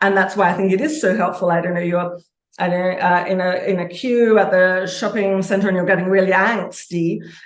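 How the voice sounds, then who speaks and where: Audible room echo surrounds a woman who talks at a fairly quick pace and a medium pitch. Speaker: author and archetypal consultant. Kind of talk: interview conversation. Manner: fast; energetic, passionate.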